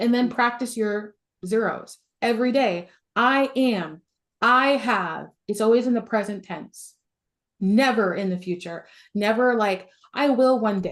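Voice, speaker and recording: A woman speaks in an animated tone with a fairly high pitch. Her pitch variation is ordinary. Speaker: business coach. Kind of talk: webinar coaching with Q&A.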